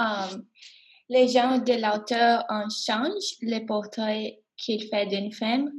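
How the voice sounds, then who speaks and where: Speaking very slowly in an English accent, a woman with a fairly high, somewhat breathy voice keeps her intonation fairly even. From Miami, Florida. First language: English (speaking French). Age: 20s. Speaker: college student. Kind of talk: class podcast discussion. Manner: hesitant, many fillers.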